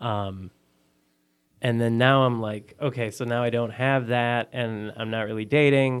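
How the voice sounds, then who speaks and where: Intonation stays monotone and flat, with an American accent. The pace is fairly slow. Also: man, medium pitch for a man. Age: 30s. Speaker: blind date guest. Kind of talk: casual chat. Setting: studio.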